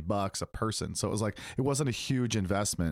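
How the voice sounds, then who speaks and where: Very clean, dry and close, with a silent background and no echo, the recording captures a man. He has a plain, everyday voice and speaks at a fairly quick pace with lively intonation. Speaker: podcast host. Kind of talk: casual chat.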